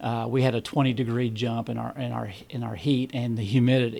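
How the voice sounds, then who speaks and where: At a fairly slow pace, a man with a Southern US accent speaks at a medium pitch. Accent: southern drawl. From Kentucky. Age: 50s. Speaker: amateur ultrarunner. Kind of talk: podcast interview.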